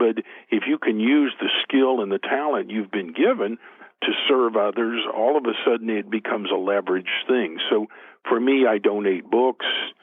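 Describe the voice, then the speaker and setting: Medium-pitched male speech at a moderate pace, with ordinary pitch variation. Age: 60s. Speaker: author and motivational speaker. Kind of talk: interview.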